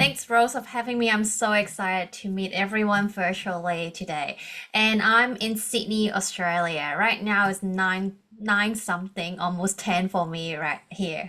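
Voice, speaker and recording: Bright and sharp in tone, this voice with a Hong Kong accent moves at a fairly slow pace with fairly even intonation. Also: woman, medium pitch for a woman. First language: Cantonese. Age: 30s. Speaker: coach and organizational psychologist. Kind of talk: podcast interview.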